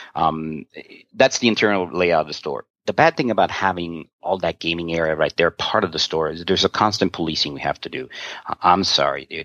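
This man has a very deep, low pitch and talks at a fairly quick pace with ordinary pitch variation. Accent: American. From New York. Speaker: game store owner. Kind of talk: interview. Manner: halting.

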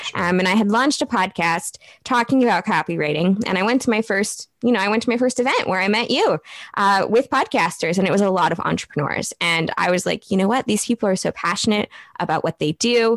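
Someone with an American accent talks at a very fast pace with ordinary pitch variation and very even loudness. The sound is dry and close with no echo, and there is noticeable background noise. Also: woman, medium pitch for a woman. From US Midwest. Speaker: copywriter and marketing business owner. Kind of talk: casual interview.

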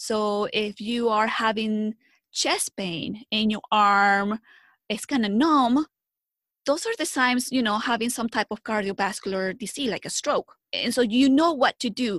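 With a Spanish accent, a woman speaks at a fairly slow pace and a fairly high pitch with ordinary pitch variation. The background is quiet, and the sound is dry and close with no echo. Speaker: health educator. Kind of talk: interview.

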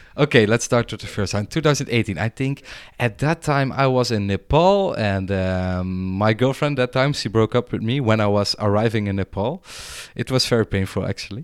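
In a Dutch accent, a man talks at a fairly quick pace with ordinary pitch variation, recorded with a dry, close sound and no echo. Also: medium pitch for a man. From Netherlands. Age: 30s. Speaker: mental health worker. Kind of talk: casual chat. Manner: hesitant, many fillers.

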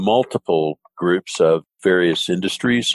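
A man's very deep, low voice in an American accent, dry and close with no echo. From US South. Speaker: podcast host. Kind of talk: interview, business conversation.

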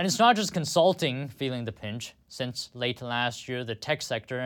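A man with an ordinary speaking voice at a moderate pace, on a very clean recording with a silent background. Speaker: news anchor. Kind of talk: newsreading. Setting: studio. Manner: formal; steady.

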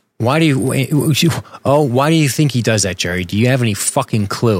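A man's normal speaking voice at a medium pitch, moderate pace and lively intonation, on a very clean recording with a silent background. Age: 40s. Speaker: podcast host. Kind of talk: casual chat.

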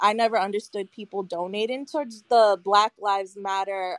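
Here is a woman with a plain, everyday voice at medium pitch. She keeps a moderate pace and fairly even intonation. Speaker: mental health counselor. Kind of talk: live audio room debate.

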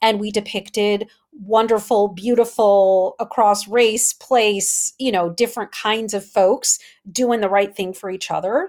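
A plain, everyday voice with an American accent speaks at a fairly slow pace. There are hardly any pauses, and the intonation stays fairly even. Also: woman, fairly high pitch for a woman. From US Midwest, Wisconsin. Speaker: communications consultant. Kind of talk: interview.

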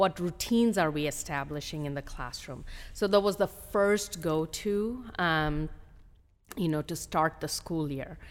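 A woman has a plain, everyday voice, fairly low in pitch with ordinary pitch variation. She speaks at a fairly slow pace on a very clean recording with a silent background. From India (Hyderabad), moved to US as a teen. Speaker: school district administrator, former principal. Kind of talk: interview conversation.

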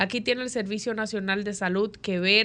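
Against a quiet background, a woman of medium pitch speaks in a bright, sharp tone with ordinary pitch variation. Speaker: radio panelist. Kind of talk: radio commentary. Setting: radio studio.

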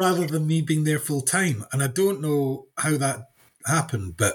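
Somewhat breathy speech with lively intonation comes in a Scottish accent at a fairly slow pace. The recording is very clean, with a silent background. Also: man. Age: 50s. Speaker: farmer and agricultural consultant. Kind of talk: casual interview chat.

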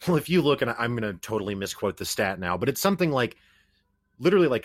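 On a very clean recording with a silent background, a man at medium pitch uses a normal speaking voice with lively intonation. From US Midwest, Springfield, Missouri. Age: 30s. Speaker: podcast host. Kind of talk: casual chat.

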